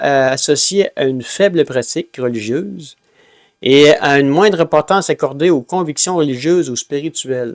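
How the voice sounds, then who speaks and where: A man at a moderate pace with ordinary pitch variation, in a dry, close sound with no echo on a very clean recording with a silent background. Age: 60s. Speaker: religious group leader. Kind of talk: informal talk with read notes. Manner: hesitant, many fillers.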